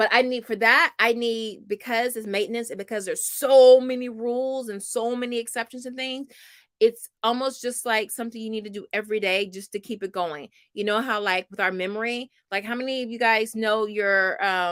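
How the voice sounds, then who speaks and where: On a very clean recording with a silent background, a woman speaks in a fairly high voice with fairly even intonation. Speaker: homeschooling mom and channel host. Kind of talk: live stream chat with viewers. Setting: live broadcast. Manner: fast; casual with many fillers.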